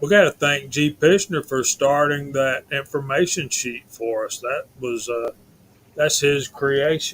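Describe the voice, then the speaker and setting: With a Southern US accent, a man speaks at a fairly high pitch and a fairly slow pace, his intonation fairly even. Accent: Southern US (Georgia). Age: 50s. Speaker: live stream host. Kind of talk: casual chat.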